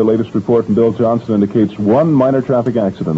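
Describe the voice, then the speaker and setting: An unremarkable speaking voice with an American accent and ordinary pitch variation. Light background noise can be heard. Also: man. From United States Midwest. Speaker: radio DJ. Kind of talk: radio DJ morning show patter. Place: booth. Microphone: old recording.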